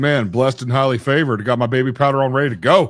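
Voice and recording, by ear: A man speaks at a fast pace. His medium pitch has ordinary variation.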